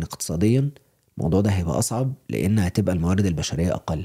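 This man talks at a fairly quick pace in a dark, mellow tone. His intonation is lively. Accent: Egyptian. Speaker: podcast co-host. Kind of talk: casual chat.

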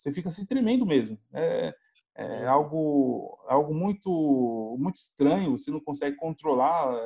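Dark and mellow in tone, a man's fairly high voice moves at a fairly slow pace with lively intonation. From Brazil, São Paulo (Grajaú). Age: 20s. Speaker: biomedical scientist, Covid-19 survivor. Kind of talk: interview, personal testimony. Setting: video call. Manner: halting, many fillers.

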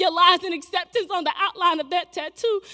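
At an extremely high pitch, a woman speaks in a raised, projected voice. She keeps a fairly quick pace and fairly even intonation. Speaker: spoken word poet. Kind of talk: spoken word poetry performance. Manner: impassioned, rhythmic, emotionally charged delivery.

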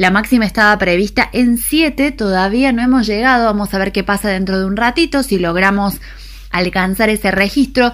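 Recorded very cleanly with a silent background, a woman uses a plain, everyday voice at a medium pitch with ordinary pitch variation. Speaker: radio host. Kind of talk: radio news and weather.

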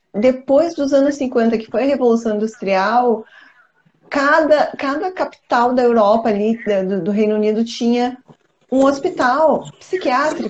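Lively intonation from a woman pitched high. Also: fairly slow pace. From southern Brazil, countryside. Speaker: co-host. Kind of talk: casual chat. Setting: live stream.

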